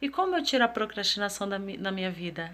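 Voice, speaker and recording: A woman uses a normal speaking voice and talks fairly quickly. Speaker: self-development vlogger. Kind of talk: motivational talk to camera.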